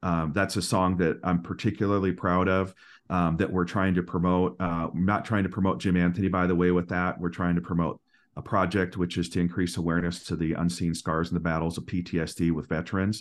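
A very deep, low-pitched man's voice, fairly quick, monotone and flat, at very even loudness against a quiet background. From Minnesota, US Midwest. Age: 40s. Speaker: singer-songwriter. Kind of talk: casual interview chat.

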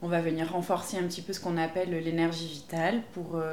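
Fairly low-pitched female voice with audible room echo and noticeable background noise. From southwest France, Pau. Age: 20s. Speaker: naturopath. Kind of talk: casual interview. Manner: hesitant, many fillers.

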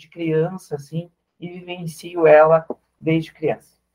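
A man talks at a fairly slow pace with a fairly high pitch. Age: 40s. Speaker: social worker and carnival group leader. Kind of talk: radio interview.

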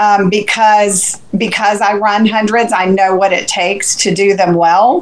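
A woman with an American accent speaks at a medium pitch in a flat monotone, with hardly any pauses and very even loudness over noticeable background noise. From Central Florida. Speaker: ultrarunner and race crew. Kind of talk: casual chat.

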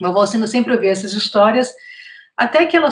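A woman speaks with a fairly high pitch and a somewhat breathy voice. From Brazil, Northeast (Fortaleza, Ceará). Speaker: journalist and author. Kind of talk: interview.

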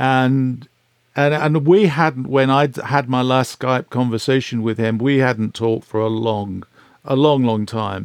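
A man speaks in an ordinary speaking voice at a medium pitch, with ordinary pitch variation. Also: fairly slow pace. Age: 60s. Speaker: record producer. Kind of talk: interview, casual chat.

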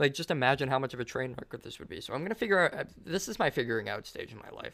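This man's voice has a bright, sharp tone, captured in a very clean recording with a silent background. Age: 20s. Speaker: podcast host. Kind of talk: solo monologue podcast. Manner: casual, filler-heavy.

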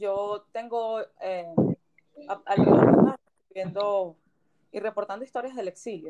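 A woman speaks at a medium pitch with fairly even intonation. Long pauses come often. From Venezuela. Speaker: podcast host, journalist. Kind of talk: interview.

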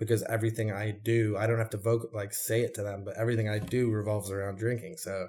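A man speaks very fast with hardly any pauses, at a fairly low pitch in a monotone, flat intonation. His tone is dark, mellow, and somewhat breathy, on a very clean recording with a silent background. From London area, moved to Detroit at ten. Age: 30s. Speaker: artist and bartender in recovery. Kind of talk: interview, personal testimony. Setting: at his apartment.

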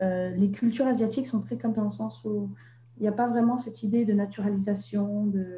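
Somewhat breathy and dark, mellow in tone, a woman speaks at medium pitch and a fairly quick pace with ordinary pitch variation. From Vietnam, Hanoi, French-educated. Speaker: author. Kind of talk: interview. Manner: halting, many hesitations.

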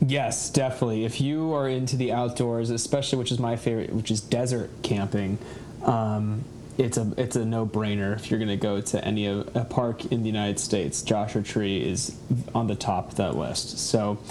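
Noticeable background noise sits under speech delivered at a moderate pace with ordinary pitch variation. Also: man, medium pitch for a man. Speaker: guest, hiker. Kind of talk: casual chat. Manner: laughs often.

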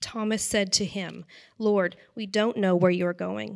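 An unremarkable speaking voice talks at a fairly slow pace with fairly even intonation. The recording is very clean, with a silent background. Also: woman. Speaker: volunteer scripture reader at a church service. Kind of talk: scripture reading. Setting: on stage in a church.

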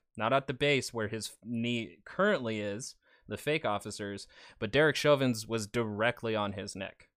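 A man with a normal speaking voice talks at a moderate pace, his medium pitch moving with ordinary variation. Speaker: news commentator. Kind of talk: news-style commentary and reaction to clips. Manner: sarcastic, filler-heavy.

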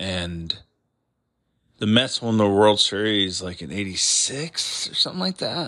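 An American accent at a fairly slow pace, with big swings in loudness, on a very clean recording with a silent background. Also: man. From New York. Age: 40s. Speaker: podcast host. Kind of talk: casual solo monologue.

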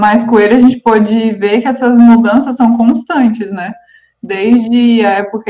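In an ordinary speaking voice, a woman talks at a moderate pace with fairly high pitch and fairly even intonation. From Paraná, Brazil. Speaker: aesthetics teacher, podcast co-host. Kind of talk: casual chat. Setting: remote call.

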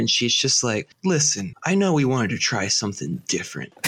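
A man speaks with an American accent at a fairly quick pace. Background noise is noticeable. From US South, Birmingham, Alabama. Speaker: podcast co-host. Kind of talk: casual chat.

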